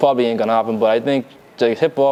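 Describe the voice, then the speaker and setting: In a Bahamian accent, a man talks very fast at medium pitch with fairly even intonation. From Bahamas. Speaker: rapper and fashion designer. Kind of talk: interview. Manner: casual, hesitant with many fillers.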